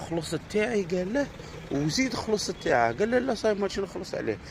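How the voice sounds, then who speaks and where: A man with an Algerian accent talks with very wide pitch swings. Noticeable background noise is present. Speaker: Algerian visitor vlogger. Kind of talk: casual vlog monologue. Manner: animated.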